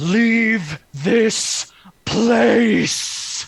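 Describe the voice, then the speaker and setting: Booming and fairly high in pitch, this is a put-on character voice. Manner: commanding.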